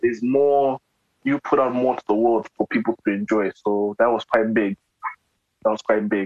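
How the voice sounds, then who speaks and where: With an unremarkable speaking voice, a man speaks at medium pitch and a moderate pace with fairly even intonation. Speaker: podcast host interviewing a musician. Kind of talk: casual interview chat.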